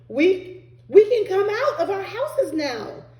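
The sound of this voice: A squeaky, put-on character voice at an extremely high pitch, at a fairly slow pace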